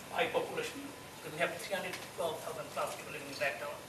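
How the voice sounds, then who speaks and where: The room echo is audible, and background noise is noticeable. Through it comes a man's voice. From Bangladesh. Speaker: council officer. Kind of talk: panel talk. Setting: forum with audience, microphone. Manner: loud.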